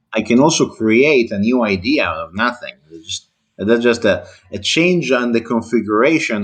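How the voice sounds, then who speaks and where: With an Italian accent, a man speaks at a moderate pace and with ordinary pitch variation against a quiet background. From Italy. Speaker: engineer, debate channel host. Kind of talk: heated debate. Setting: online voice call. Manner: overly formal.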